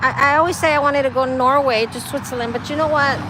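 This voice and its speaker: A woman with an American accent projects a raised voice at a high pitch. Noticeable background noise can be heard. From Texas. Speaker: livestreamer. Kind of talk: casual chat. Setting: outdoors by the road.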